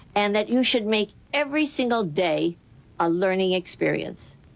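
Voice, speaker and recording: Music playing behind a woman who keeps a moderate pace. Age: 80s+. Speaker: costume designer and show host. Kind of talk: scripted hosting narration.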